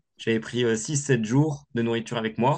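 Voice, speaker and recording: The speaker is a man with a medium-pitched voice. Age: 20s. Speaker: adventurer and ski instructor. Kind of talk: interview. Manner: hesitant, many fillers and repetitions.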